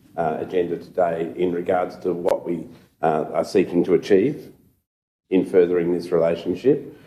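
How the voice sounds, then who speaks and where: A man with an Australian accent speaks at a moderate pace in a dark, mellow tone. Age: 60s. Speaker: city councillor. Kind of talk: council meeting debate. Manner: halting, many fillers.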